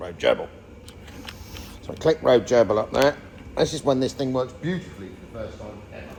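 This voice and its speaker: Pausing long and often, a man speaks fairly quickly with lively intonation and big swings in loudness over noticeable background noise. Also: medium pitch for a man. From England. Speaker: YouTube vehicle restorer. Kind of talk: casual chat.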